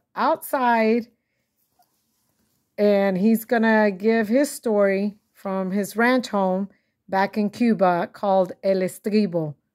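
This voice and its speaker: Recorded very cleanly against a silent background, the words arrive at a very slow pace. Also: woman. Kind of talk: interviewer questions.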